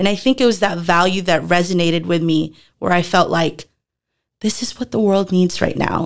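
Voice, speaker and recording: Speaking at a moderate pace, a woman has a normal speaking voice, a fairly low pitch and fairly even intonation. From Philippines, moved to Texas at 10. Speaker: former middle school teacher. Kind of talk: casual interview.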